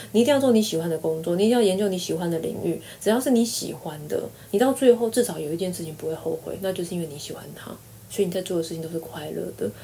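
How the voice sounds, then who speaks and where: The voice moves at a very fast pace with lively intonation. Noticeable background noise runs underneath. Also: woman, fairly low pitch for a woman. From Taiwan. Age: 40s. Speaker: university lecturer. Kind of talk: casual interview.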